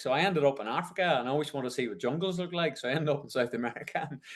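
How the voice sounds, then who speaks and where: A man's fairly high voice with a strong Northern Irish accent. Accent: Northern Irish, kept strong. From Northern Ireland, County Tyrone. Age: 50s. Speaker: ultramarathon race organiser. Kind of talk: podcast interview. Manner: energetic, enthusiastic.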